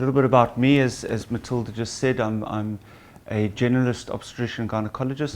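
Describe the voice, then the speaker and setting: At medium pitch and a fairly quick pace, a man with a South African accent keeps his intonation fairly even. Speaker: gynecologist and obstetrician. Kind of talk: patient seminar talk.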